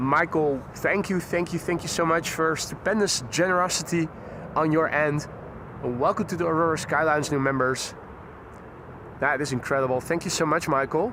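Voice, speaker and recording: Over clear background noise, a man puts on a strained character voice at a fairly high pitch, with very even loudness and a moderate pace. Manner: subdued, restrained, grateful.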